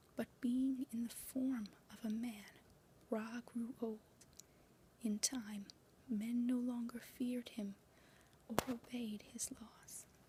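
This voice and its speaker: Noticeable background noise runs under very slow speech broken by long, frequent pauses. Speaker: channel owner and fanfiction writer who reads literature aloud. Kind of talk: ASMR story reading, mythology narration. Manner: whispered.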